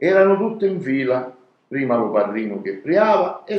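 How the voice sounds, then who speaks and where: With very wide pitch swings, a man talks at a moderate pace in a fairly high pitch. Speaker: storyteller. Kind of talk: dialect story reading.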